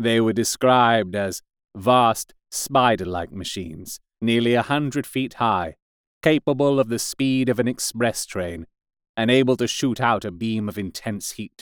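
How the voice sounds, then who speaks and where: A man's normal speaking voice at a medium pitch and fairly slow pace, dry and close with no echo, in a very clean recording with a silent background. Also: ordinary pitch variation. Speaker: audiobook narrator. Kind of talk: scripted audiobook narration, dramatic.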